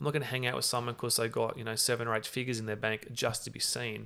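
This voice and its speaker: Talking at a very fast pace, a man uses a medium pitch with vocal fry and fairly even intonation. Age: 30s. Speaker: entrepreneur and navy veteran. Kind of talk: interview.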